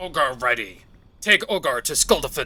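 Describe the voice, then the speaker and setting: A man uses a put-on character voice. He talks at a moderate pace. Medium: game stream. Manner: blunt, third-person speech.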